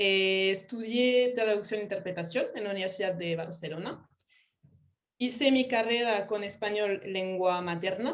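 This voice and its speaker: Fairly slow delivery in a French accent, with ordinary pitch variation. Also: woman, medium pitch for a woman. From France. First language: French (speaking Spanish). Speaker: UX writer and localization specialist. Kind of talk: online talk.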